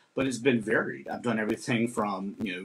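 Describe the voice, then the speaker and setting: The speaker talks at a fairly quick pace with ordinary pitch variation, over light background noise. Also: man. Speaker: performing arts director and host. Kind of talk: casual conversation on live stream. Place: home room. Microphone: webcam.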